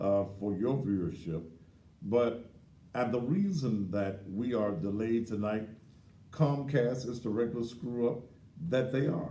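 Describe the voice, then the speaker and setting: Amid audible room echo, a man with a medium pitch and a dark, mellow tone speaks at a fairly slow pace, with ordinary pitch variation and long, frequent pauses. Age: 60s. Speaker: talk show host. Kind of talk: live talk show monologue. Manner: animated.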